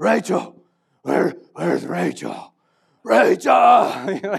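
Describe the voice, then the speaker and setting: Putting on a character voice, a man speaks raspily at a very slow pace. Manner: frantic.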